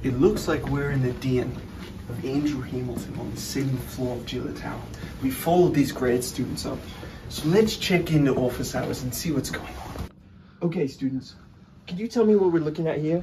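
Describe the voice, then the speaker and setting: Noticeable background noise runs under a man speaking at a moderate pace with ordinary pitch variation. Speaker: host. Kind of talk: playful documentary hosting. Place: hall.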